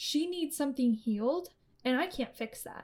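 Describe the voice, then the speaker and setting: A woman speaks in a high pitch at a moderate pace with lively intonation. The recording is very clean, with a silent background. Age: 20s. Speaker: podcast host, collegiate runner. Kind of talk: solo podcast monologue.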